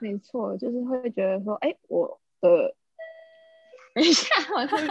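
Over music in the background, a woman talks at a moderate pace with long, frequent pauses. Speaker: office worker living in Japan. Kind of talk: casual chat.

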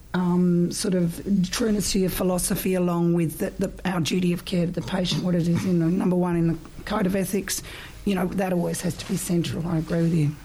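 A woman's fairly low-pitched, monotone voice with flat intonation, over noticeable background noise. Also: fairly quick pace. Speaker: pharmacist and trainer. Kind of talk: interview, casual conversation.

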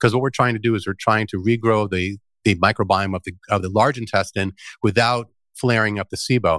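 In a normal speaking voice, a man talks at a fairly quick pace with a fairly low pitch and fairly even intonation. The sound is dry and close with no echo, on a very clean recording with a silent background. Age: 50s. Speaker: detox product maker and founder. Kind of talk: interview.

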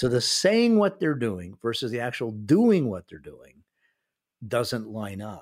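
This man has an unremarkable speaking voice, medium in pitch, with lively intonation at a fairly slow pace, captured in a very clean recording with a silent background. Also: big swings in loudness. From North America (Canada and US). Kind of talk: interview.

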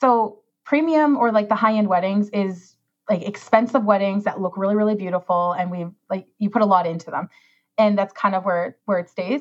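A woman speaks with a Canadian accent at a medium pitch. Her pace is very fast. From Saskatchewan, rural Canada. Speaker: wedding planner. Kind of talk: casual chat. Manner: animated.

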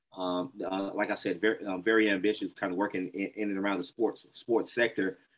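A man with a Mississippi accent speaks at a fairly quick pace in a fairly low voice. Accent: Southern US (Mississippi). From Mississippi, US South. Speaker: entrepreneur, production company founder. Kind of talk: interview conversation. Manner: halting, many fillers and repetitions.

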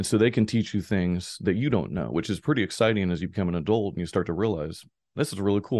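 A man with a very deep, low voice and vocal fry talks very fast with lively intonation against a quiet background. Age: 40s. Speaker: author and business professor. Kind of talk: interview.

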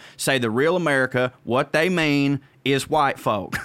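Speaking in a Southern US accent, a man has a bright, sharp tone. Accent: Southern US, noticeable. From Georgia, US South. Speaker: comedian. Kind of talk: casual chat.

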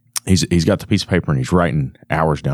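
Using lively intonation, a man with a very deep, low voice and vocal fry talks at a very fast pace. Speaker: podcast host. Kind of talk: casual chat. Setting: live at a trade show.

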